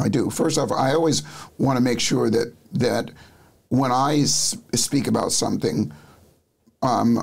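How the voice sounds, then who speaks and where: With lively intonation and vocal fry, a man speaks at a fairly slow pace and a medium pitch. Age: 70s. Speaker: neuropsychology coach and speaker. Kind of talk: interview. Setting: studio.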